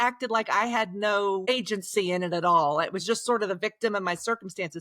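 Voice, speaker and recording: A woman speaking at a fairly quick pace with a slight Oklahoma accent. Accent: slight Oklahoma twang. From Oklahoma, Osage County. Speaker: author. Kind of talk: podcast interview.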